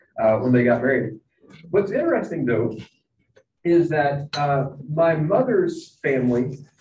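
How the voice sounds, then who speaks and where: The man's pitch sits fairly high, with ordinary variation. There is audible echo from the room. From Kentucky, Bowling Green. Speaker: professor of biblical studies. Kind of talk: lecture.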